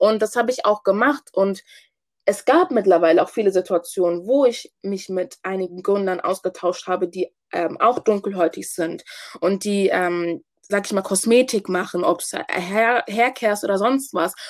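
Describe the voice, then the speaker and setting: A woman speaks in an unremarkable speaking voice. Her pace is fairly slow, with ordinary pitch variation. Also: medium pitch for a woman. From Hamburg, Germany (Ghanaian family). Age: 20s. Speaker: student and business founder. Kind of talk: interview.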